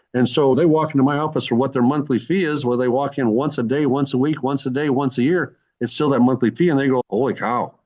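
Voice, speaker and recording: Speaking at a very fast pace with hardly any pauses, a man keeps his loudness very even. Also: fairly high pitch for a man, fairly even intonation. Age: 70s. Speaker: physician. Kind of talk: interview testimony. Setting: podcast. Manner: halting; conversational.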